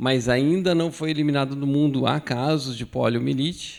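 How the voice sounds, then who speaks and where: A man with an ordinary speaking voice at a fairly slow pace. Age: 60s. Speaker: physician, pediatric immunization speaker. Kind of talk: medical lecture.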